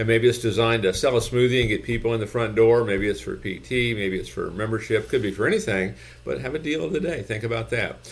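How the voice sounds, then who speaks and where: A man's somewhat breathy voice at medium pitch, very fast with hardly any pauses and ordinary pitch variation. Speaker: gym business consultant. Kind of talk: infomercial-style sales pitch with calls to action. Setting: YouTube video channel, solo talk to camera. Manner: repeats phrases for emphasis, pitchy and persuasive.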